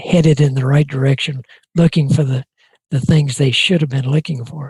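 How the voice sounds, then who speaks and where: A man with an American accent speaks at a fairly high pitch in a somewhat breathy voice. His intonation is fairly even, and the sound is dry and close with no echo. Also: moderate pace. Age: 80s+. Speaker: retired NASA flight director. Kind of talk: interview answer.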